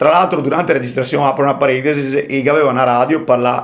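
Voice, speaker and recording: In a Venetian accent, a man speaks at a fairly high pitch. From Veneto, Italy. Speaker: rapper. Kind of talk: podcast interview answer, casual storytelling.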